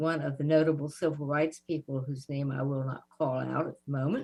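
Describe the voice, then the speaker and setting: A woman with a Southern US accent speaks at a moderate pace in a very deep, low pitch. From US South. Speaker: civil rights activist. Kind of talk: interview.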